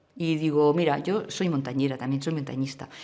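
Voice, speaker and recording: A woman speaks at a fairly quick pace with a Catalan accent. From Catalonia, small town near Barcelona. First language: Catalan (speaking Spanish). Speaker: political activist. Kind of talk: interview. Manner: halting, many hesitations.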